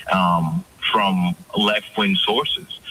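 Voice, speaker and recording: Amid noticeable background noise, a man with a Dominican accent speaks with very wide pitch swings. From Dominican Republic. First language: Spanish. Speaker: media editor, guest commentator. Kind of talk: radio interview.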